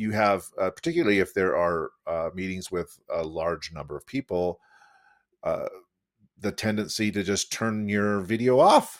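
Recorded with a dry, close sound and no echo, a man uses an ordinary speaking voice, fairly low in pitch, moving at a fairly slow pace with lively intonation. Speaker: podcast host. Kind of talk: casual conversation. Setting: video call.

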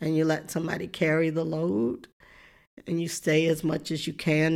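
A woman with a Southern US accent speaks at a moderate pace in a very deep, low pitch and a dark, mellow tone, captured in a very clean recording with a silent background. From US South, rural deep south. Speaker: professor and preacher. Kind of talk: interview.

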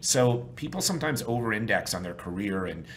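With an American accent and vocal fry, a man talks at a fairly quick pace with lively intonation in audible room echo. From New York. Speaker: sales trainer and consultant. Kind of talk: interview.

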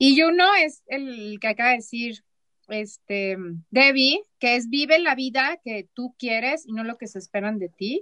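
A woman with a high pitch speaks at a fairly slow pace, her intonation lively and her loudness swinging widely. The sound is dry and close, with no echo. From Mexico, Chihuahua. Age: 40s. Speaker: therapist and former teacher. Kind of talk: casual chat.

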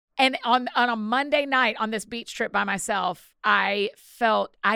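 Heard in a dry, close sound with no echo and a very clean, silent background, a woman with a Southern US accent has a bright, sharp tone and ordinary pitch variation. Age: 40s. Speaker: author and podcaster. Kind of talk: interview conversation.

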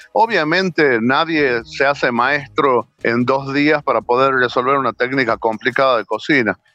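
Recorded in a dry, close sound with no echo, the bright, sharp voice holds very even loudness at a fairly slow pace with hardly any pauses. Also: man, medium pitch for a man, ordinary pitch variation. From Argentina, Tucumán. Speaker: chef. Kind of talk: interview.

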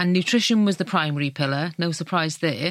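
A woman with a South Wales accent speaks at a fairly quick pace in a fairly low voice. The recording is very clean with a silent background. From Wales, South Wales Valleys. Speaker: magazine editor. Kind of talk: casual chat. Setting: studio.

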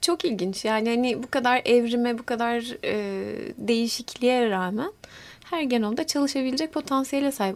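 This woman has a plain, everyday voice and speaks at a moderate pace. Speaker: molecular biologist, university lecturer. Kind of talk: interview.

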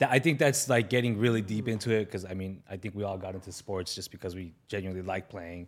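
Talking at a very fast pace with hardly any pauses, a man with an American accent and fairly low pitch shows big swings in loudness and ordinary pitch variation on a very clean recording with a silent background. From Los Angeles, San Fernando Valley. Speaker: retired pro soccer player and coach. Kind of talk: casual chat.

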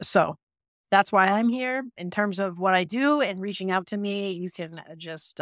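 An unremarkable speaking voice at a moderate pace with ordinary pitch variation, in a very clean recording with a silent background and a dry, close sound with no echo. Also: woman. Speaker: school administrator and educator. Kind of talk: panel discussion.

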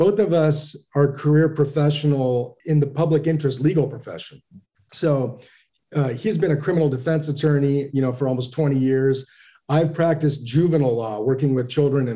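A man's fairly high-pitched, somewhat breathy voice with a dark, mellow tone, a fairly quick pace and ordinary pitch variation. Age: 40s. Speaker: brewery founder and CEO. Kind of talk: interview.

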